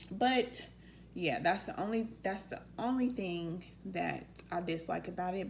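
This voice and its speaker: Audible room echo surrounds a woman with a fairly low pitch. Her voice carries vocal fry and ordinary pitch variation. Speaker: vlogger. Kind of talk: casual q&a vlog.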